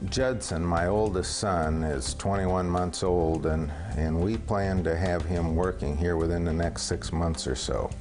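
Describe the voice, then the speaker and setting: With an American accent, the speaker goes at a fairly slow pace with hardly any pauses, ordinary pitch variation and very even loudness, while music plays in the background and room echo is audible. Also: man, very deep, low pitch for a man. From Southern California. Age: 50s. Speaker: business owner. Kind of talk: testimonial interview. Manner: halting, repeats words.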